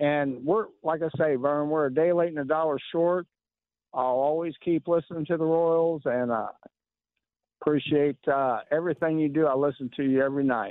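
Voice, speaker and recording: In an American accent, a man with a fairly high pitch and an unremarkable speaking voice talks at a moderate pace with fairly even intonation. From Kansas City area. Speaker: caller. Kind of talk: radio call-in. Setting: phone call. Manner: agitated.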